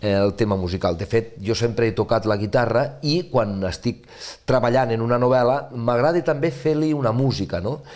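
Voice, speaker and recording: Against a quiet background, a man speaks with a western Catalan accent and lively intonation. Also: moderate pace, very even loudness. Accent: Catalan, western (Ebre) dialect. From Ribera d'Ebre, Catalonia (Ascó); Catalonia. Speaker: novelist; interviewee. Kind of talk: interview. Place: studio. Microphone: lapel.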